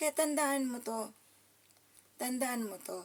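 This is a woman speaking. Her pitch is high. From Davao, Mindanao, Philippines. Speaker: political commentary vlogger. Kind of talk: political commentary vlog. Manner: animated.

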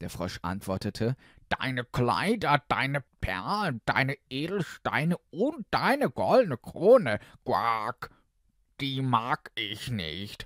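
In a dry, close recording with no echo, a man with a medium pitch speaks in a playful tone at a very slow pace, with very wide pitch swings. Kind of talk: character voice of the frog within the fairy tale. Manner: croaky, playful, repeating 'Quark' between phrases.

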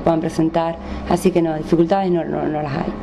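Over light background noise, a woman speaks at a fairly low pitch and a fairly quick pace. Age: 30s. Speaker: distance-learning student. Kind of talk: interview. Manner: halting. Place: home room. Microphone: handheld.

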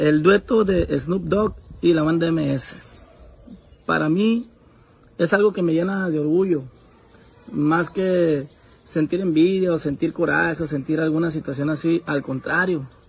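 A man's fairly slow speech, with ordinary pitch variation and long, frequent pauses. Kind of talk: casual vlog chat, opinion. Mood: proud, earnest. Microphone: phone near.

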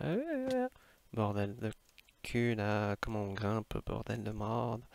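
In a dry, close sound with no echo, a man speaks at a very slow pace. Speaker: streamer. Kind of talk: casual gaming stream talk.

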